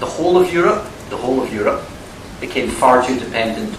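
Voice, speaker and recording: A man with a strong Scottish accent speaks at a moderate pace in a medium pitch, his voice swinging very widely up and down, with audible room echo and noticeable background noise. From Scotland. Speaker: academic and former politician. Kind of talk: university lecture Q&A answer.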